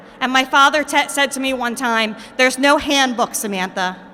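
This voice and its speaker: Amid noticeable background noise, a woman with a high voice speaks in a raised, projected voice at a fairly quick pace, passionate in tone with ordinary pitch variation. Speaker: recovery advocate and adjunct lecturer. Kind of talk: rally speech. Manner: loud, passionate.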